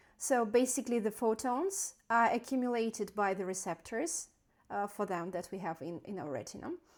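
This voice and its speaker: A woman's lively intonation in a non-native accent. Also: very clean recording, silent background. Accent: non-native English speaker. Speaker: doctor. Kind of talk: educational talk. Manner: halting, many fillers.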